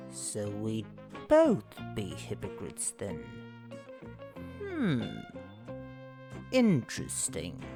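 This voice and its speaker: Clear music plays in the background as a put-on character voice speaks at a very slow pace with long, frequent pauses. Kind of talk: comedy webcomic dub.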